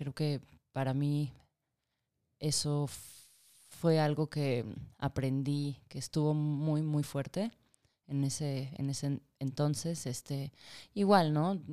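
This woman has a very deep, low pitch and fairly even intonation, speaking at a very slow pace with long, frequent pauses. The recording is very clean, with a silent background. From Argentina. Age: 30s. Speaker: psychologist and film producer. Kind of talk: interview.

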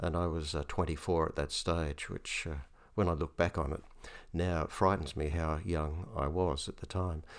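Recorded very cleanly against a silent background, a man with an Australian accent talks at a moderate pace. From Australia, Hunter Valley, New South Wales. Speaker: retired bishop and theologian. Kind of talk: interview conversation. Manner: hesitant, many fillers.

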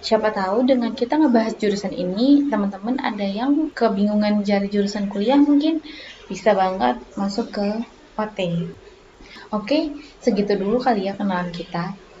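Lively intonation carries the speech at a moderate pace against noticeable background noise. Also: woman, medium pitch for a woman. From Batam, Riau Islands, Indonesia. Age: 20s. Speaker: podcast host, university student. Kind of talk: casual solo podcast talk.

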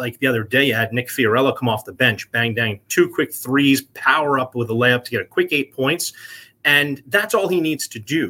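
A man's medium-pitched voice with a bright, sharp tone, at a moderate pace, with an American accent. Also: ordinary pitch variation. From New Jersey. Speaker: sports broadcaster. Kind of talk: radio interview.

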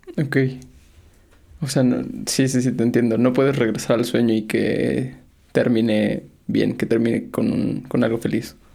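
The speaker has a dark, mellow tone with vocal fry, fairly even intonation and very even loudness, moving at a fairly slow pace with long, frequent pauses. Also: man, medium pitch for a man. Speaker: podcast host. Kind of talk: casual interview.

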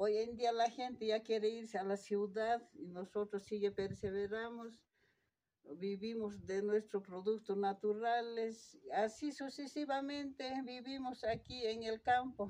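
In a dark, mellow tone, a woman speaks with fairly high pitch and fairly even intonation. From Bolivia, Puna (Potosí highlands). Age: 50s. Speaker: farmer. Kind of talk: interview. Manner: halting.

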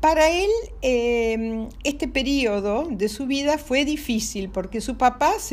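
Her voice is high-pitched with a warm tone, and the woman's speech carries audible room echo. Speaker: storyteller for children. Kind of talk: bedtime storytelling. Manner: warm, halting with fillers.

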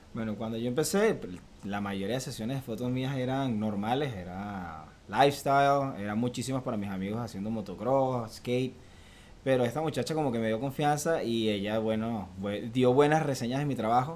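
Audible room echo surrounds a man speaking at a moderate pace and medium pitch, with ordinary pitch variation. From Venezuela (Valencia). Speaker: photographer. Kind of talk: interview.

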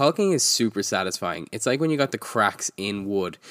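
Dry and close with no echo, in a very clean recording with a silent background, a man talks at a very fast pace with lively intonation. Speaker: podcast host. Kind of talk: casual chat.

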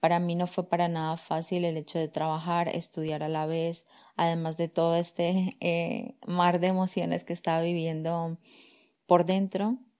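A woman speaks in a fairly low, dark, mellow voice with monotone, flat intonation. The recording is very clean, with a silent background. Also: fairly slow pace. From Colombia, Medellín, moved to Barcelona at 11. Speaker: life coach, podcast host. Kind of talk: personal monologue.

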